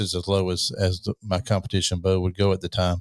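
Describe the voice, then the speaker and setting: Very deep and low, a man's voice races at a very fast pace in a dry, close sound with no echo on a very clean recording with a silent background. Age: 60s. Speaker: podcast host. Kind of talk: interview. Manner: casual, conversational.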